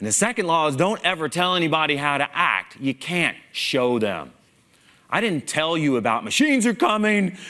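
Animated and bright with a sharp tone, a fairly high-pitched man speaks at a moderate pace with very wide pitch swings. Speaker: conference speaker, engineer. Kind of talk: stage talk with humor. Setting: stage with audience. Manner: animated, humorous.

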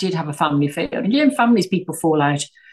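The speaker has an English accent and a somewhat breathy voice. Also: woman. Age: 60s. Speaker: tech entrepreneur. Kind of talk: interview.

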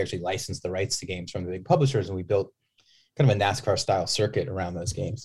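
Breathy to some degree, a man with a fairly low pitch and an American accent talks at a very fast pace. The recording is very clean, with a silent background. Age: 40s. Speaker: gaming company executive. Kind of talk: interview. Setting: on site at a conference.

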